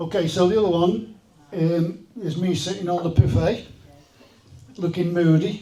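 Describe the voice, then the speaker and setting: Heard with audible room echo and noticeable background noise, the speaker talks with a North Staffordshire accent and fairly even intonation. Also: man. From Talke Pits, Staffordshire, England. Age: 60s. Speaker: event organiser sharing memories. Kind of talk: casual talk to audience.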